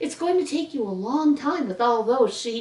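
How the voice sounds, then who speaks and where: A shaky, put-on character voice from a woman, high-pitched with very wide pitch swings, at a moderate pace. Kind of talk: bedtime story. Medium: read story.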